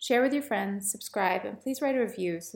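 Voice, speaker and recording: A woman talks with vocal fry and lively intonation. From England. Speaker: podcast host and cultural historian. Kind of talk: interview.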